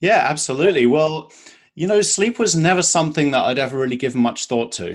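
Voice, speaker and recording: A man with a British accent talks very fast in a fairly high pitch, his intonation lively. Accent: British accent, noticeable. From UK. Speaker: sleep coach. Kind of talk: interview.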